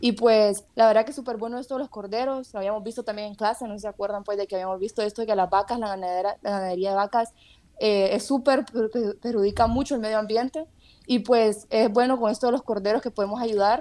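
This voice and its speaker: The voice has a dark, mellow tone, moving at a very fast pace with fairly even intonation. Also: woman, fairly high pitch for a woman. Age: 20s. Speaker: university student podcast host. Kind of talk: casual interview.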